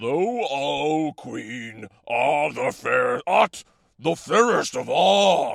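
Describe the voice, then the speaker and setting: A man performs a put-on character voice. He speaks at a very slow pace. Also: medium pitch for a man. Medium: read story. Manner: formal, archaic.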